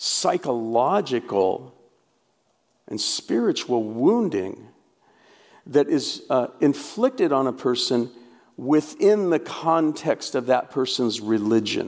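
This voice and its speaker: Lively intonation and a West Coast accent mark this fairly slow delivery. The recording is very clean against a silent background. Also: man. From US Pacific Northwest, Portland, Oregon. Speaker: pastor and author. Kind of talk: conference talk.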